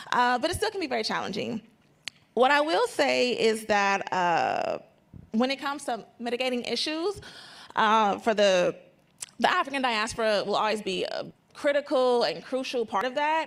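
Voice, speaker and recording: A woman's high voice with very wide pitch swings. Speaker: trade coordinator at a chamber of commerce. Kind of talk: panel discussion. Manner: fast; halting.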